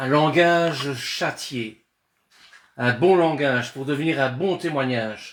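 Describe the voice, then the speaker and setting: This man's voice sits fairly high in pitch, with ordinary pitch variation. He talks at a very slow pace. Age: 60s. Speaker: Bible study teacher. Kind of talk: religious discussion. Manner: halting, with repeated words.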